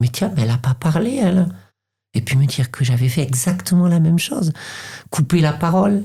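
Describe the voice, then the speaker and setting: A somewhat breathy woman talks at a moderate pace in a very deep, low voice, her pitch swinging very widely. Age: 50s. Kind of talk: interview. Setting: podcast recording. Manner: halting, many repetitions.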